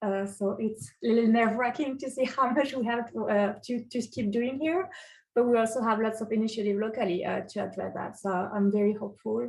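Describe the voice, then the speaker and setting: Fairly quick and somewhat breathy, a woman with a French accent speaks at a fairly high pitch with fairly even intonation over a quiet background. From France. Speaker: city energy advisor. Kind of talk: webinar self-introduction. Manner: hesitant, many fillers.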